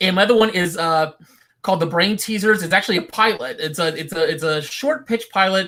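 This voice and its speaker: A man projects a raised voice at a high pitch, moving at a fairly quick pace with ordinary pitch variation. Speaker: animation filmmaker. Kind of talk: panel Q&A.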